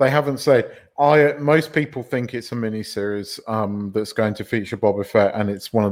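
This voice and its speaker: A man talks at a moderate pace in a normal speaking voice. His pitch is fairly low, with ordinary variation. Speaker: podcast co-host. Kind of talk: casual banter podcast chat.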